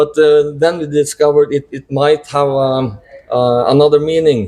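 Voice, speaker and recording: This man has a Norwegian accent and a fairly high pitch. He speaks at a fairly slow pace with fairly even intonation. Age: 40s. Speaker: metal band drummer. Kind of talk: interview. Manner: halting.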